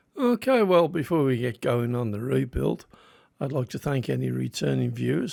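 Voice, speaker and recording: A man speaks with a strong English Midlands accent. The recording is very clean, with a silent background. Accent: Midland English, strong. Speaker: die-cast model restorer, YouTuber. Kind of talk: hobby tutorial narration. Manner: casual, slightly halting.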